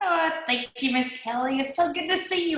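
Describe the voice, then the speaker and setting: A woman with a strong eastern Kentucky accent speaks at an extremely high pitch with very wide pitch swings. Audible room echo and noticeable background noise are present. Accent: heavy eastern Kentucky. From eastern Kentucky mountains. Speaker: direct-sales businesswoman. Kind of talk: testimony. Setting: video call.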